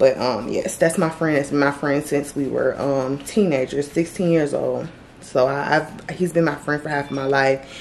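At a moderate pace, a woman speaks in a very deep, low voice over light background noise. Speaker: vlogger. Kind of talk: casual vlog chat. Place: home room. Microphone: phone near.

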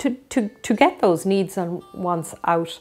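A woman at a very slow pace, faint music in the background. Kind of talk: interview answer. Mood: earnest, reflective. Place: home room. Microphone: lapel.

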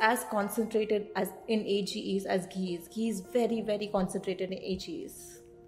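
Moderate pace from a woman's voice. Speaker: nutrition coach. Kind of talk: informative vlog talk. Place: office. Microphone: studio mic.

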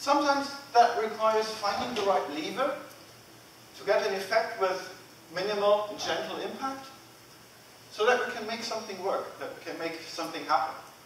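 Speaking at a fairly quick pace, a man is heard with audible room echo and light background noise. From Germany. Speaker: agile coach. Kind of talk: conference lightning talk. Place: hall. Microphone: camera far.

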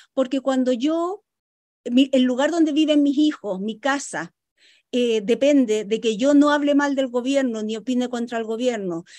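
Over a quiet background, a woman speaks at a moderate pace in a high, dark, mellow voice with ordinary pitch variation. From Chile. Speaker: economist; guest. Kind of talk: radio interview. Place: home room. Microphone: video call.

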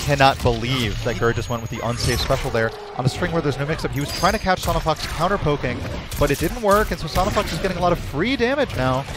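Very fast and energetic, a man talks with lively intonation, his sound dry with no echo despite noticeable background noise. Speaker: esports commentator. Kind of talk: live esports match commentary. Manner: analytical, energetic. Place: hall. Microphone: headset.

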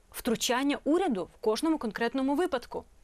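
A woman with a plain, everyday voice speaks at a moderate pace in a very clean recording with a silent background. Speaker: TV host. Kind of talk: TV interview. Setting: studio.

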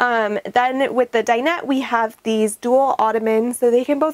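A woman's fairly even intonation stands out against a quiet background. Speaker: van tour guide. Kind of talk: walkthrough tour commentary. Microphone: lapel.

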